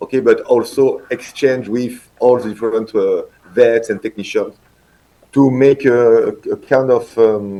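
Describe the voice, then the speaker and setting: The speaker has a French accent. Intonation stays fairly even. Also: man. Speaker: veterinarian and industry innovation manager. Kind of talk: conference talk. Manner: halting, many hesitations and restarts.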